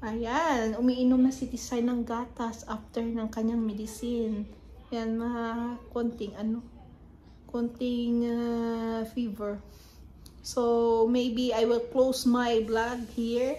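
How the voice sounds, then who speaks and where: A woman's very slow, monotone voice with flat intonation over light background noise. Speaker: family vlogger. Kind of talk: casual vlog chat. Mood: calm, gentle. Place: home room. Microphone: phone near.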